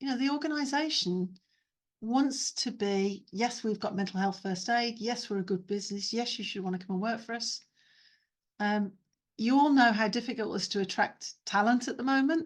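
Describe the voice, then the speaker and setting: Against a quiet background, a woman with a fairly high, somewhat breathy voice speaks at a moderate pace with ordinary pitch variation. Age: 50s. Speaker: neurodiversity trainer and consultant. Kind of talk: webinar talk with Q&A. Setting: video call.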